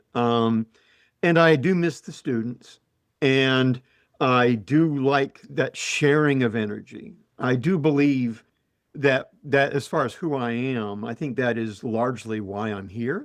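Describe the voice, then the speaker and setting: With a Utah accent, a man talks at a very slow pace using ordinary pitch variation. The background is quiet. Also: medium pitch for a man. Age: old. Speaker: professor. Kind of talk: casual chat. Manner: halting.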